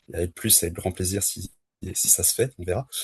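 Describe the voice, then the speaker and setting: A man's very deep, low voice, somewhat breathy, at a moderate pace, dry and close with no echo over a quiet background. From France (Le Mans). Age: 30s. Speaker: trail runner. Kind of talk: podcast interview. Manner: hesitant, many fillers.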